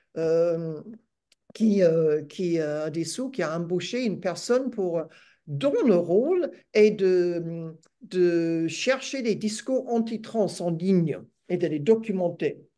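Against a quiet background, a woman with an English accent talks at a very slow pace. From Australia. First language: English (speaking French). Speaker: retired academic and feminist activist. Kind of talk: webinar talk; webinar talk, interview answer. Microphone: video call.

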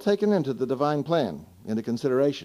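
A man's voice at an unhurried, moderate speed. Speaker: Bible class teacher. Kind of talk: question and answer sermon talk. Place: hall. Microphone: old recording.

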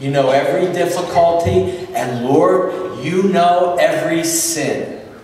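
Speech comes at a very slow pace with hardly any pauses. Strong room echo surrounds it, over light background noise. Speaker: pastor. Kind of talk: fervent congregational prayer. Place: church. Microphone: camera far.

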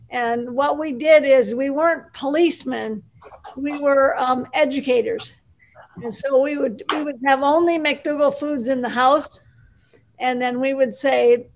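A woman speaks in a high pitch at a fairly slow pace. Her pitch varies in an ordinary way. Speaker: guest's wife; guest. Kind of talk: casual chat. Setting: video call. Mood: warm, friendly. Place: home room. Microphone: video call.

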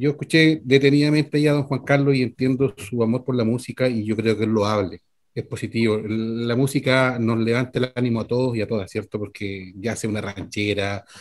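Pitched at a medium level, the man's speech moves at a moderate rate with ordinary pitch variation. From Constitución, Maule region, Chile. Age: 50s. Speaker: mechanic, trucker and council candidate. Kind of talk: political candidate interview. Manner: halting, many fillers.

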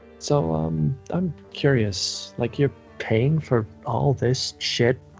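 Natural-voiced reading aloud

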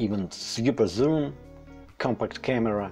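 Faint music plays behind a man with a non-native accent whose pitch swings very widely. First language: not English. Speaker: landscape photographer. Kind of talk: read-from-script tutorial narration. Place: home room. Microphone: lapel.

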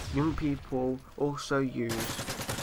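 Over noticeable background noise, a man with a British accent speaks at a medium pitch. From UK. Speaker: gaming YouTuber. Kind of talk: scripted commentary over gameplay. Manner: reading from a script.

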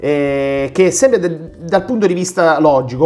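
Talking at a fairly slow pace, a man uses ordinary pitch variation. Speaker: book reviewer, ophthalmologist; book reviewer. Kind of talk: casual book review monologue. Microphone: phone near.

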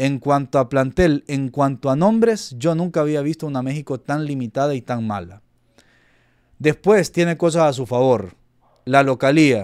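With a normal speaking voice, a man talks at a moderate pace and a fairly high pitch, his intonation lively and the sound dry with no echo against a quiet background. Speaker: football YouTuber. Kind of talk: casual commentary to camera. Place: home room.

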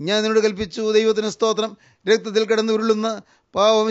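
A man speaks at a high pitch. The background is quiet. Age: old. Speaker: preacher. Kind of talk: sermon.

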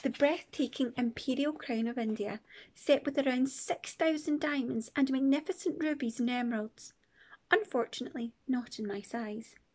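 Her pitch is high, with ordinary pitch variation. The woman speaks at a moderate pace. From Scotland. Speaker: primary school teacher reading a book aloud. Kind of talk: children's story read-aloud. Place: home room. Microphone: phone near.

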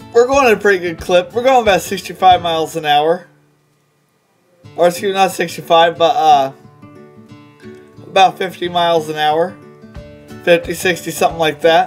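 The speech has long, frequent pauses. Faint music plays in the background. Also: moderate pace. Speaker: show host. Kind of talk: casual vlog chat. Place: car. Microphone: phone near.

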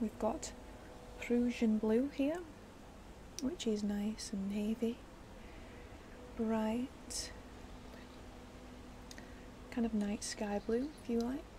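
Against noticeable background noise, a soft-spoken woman talks at a very slow pace. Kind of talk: soft roleplay commentary. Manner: soft, hushed ASMR speaking voice. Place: garden. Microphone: phone near.

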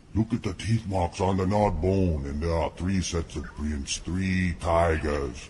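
A man puts on a character voice at a moderate pace, his pitch very deep and low, with clear background noise behind him. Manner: urgent, alarmed.

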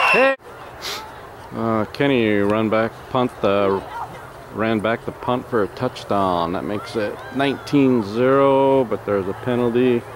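Over noticeable background noise, a man talks at a very slow pace in a dry sound with no echo. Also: ordinary pitch variation. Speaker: sideline parent filming youth football. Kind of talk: informal play-by-play commentary. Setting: outdoors at a football field. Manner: animated. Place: stadium. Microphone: phone near.

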